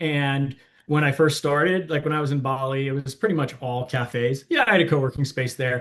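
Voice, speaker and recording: A man with an American accent, fairly high in pitch, at a fairly quick pace. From Washington DC area, US. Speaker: startup founder. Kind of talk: interview. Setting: small closet office. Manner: loud.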